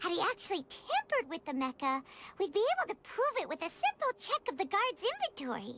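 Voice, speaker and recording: In a put-on character voice, the speaker goes fairly quickly at an extremely high pitch with very wide pitch swings. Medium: video game. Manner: blunt, chatty.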